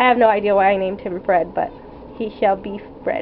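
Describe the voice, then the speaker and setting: Ordinary pitch variation marks this moderately paced speech. Behind it sits noticeable background noise. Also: woman. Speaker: artist. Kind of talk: casual talk to camera.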